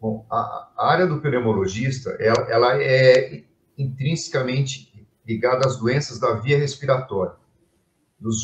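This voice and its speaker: A man speaks at medium pitch and a fairly slow pace, somewhat breathy, with fairly even intonation. His loudness swings widely. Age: 60s. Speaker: physician, lung and intensive care specialist. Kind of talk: interview in a live stream. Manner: halting, with many fillers and repetitions.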